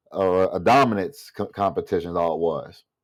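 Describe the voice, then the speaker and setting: A man speaks with an American accent. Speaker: vlogger and restaurant server. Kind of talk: casual monologue vlog. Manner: animated.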